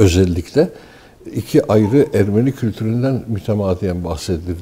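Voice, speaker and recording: Breathy to some degree, a man speaks in a fairly low voice. His tone is dark and mellow. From Turkey, Istanbul. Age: 60s. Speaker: newspaper editor and writer. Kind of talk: interview. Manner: hesitant, many filler sounds.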